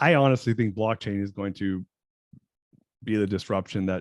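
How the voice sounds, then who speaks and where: Recorded very cleanly against a silent background, a man talks at a moderate pace with ordinary pitch variation in a dry, close sound with no echo. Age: 40s. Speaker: entrepreneur and business coach. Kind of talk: podcast interview. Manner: halting.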